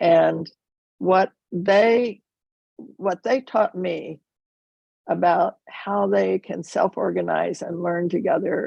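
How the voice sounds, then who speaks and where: Recorded with a dry, close sound and no echo, a woman speaks at a very slow pace. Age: 80s+. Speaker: retired teacher, summit participant. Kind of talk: casual chat. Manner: halting.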